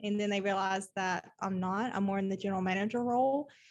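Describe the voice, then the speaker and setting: Fairly level intonation marks this voice, delivered with an American accent. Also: woman. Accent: Southern drawl, stronger when upset. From US South, Nashville, Tennessee. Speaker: plumbing business owner. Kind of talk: podcast interview.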